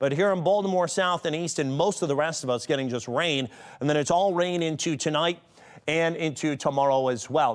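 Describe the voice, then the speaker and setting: A man's fairly high voice at a very fast pace, with lively intonation, on a very clean recording against a silent background. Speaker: TV meteorologist. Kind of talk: TV weather forecast.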